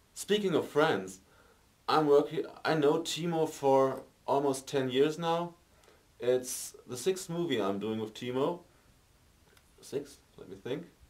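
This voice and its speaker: Fairly slow speech in a German accent, with lively intonation, big swings in loudness and long, frequent pauses. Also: man, fairly high pitch for a man. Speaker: amateur film actor. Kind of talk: interview. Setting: film set. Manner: halting, many fillers.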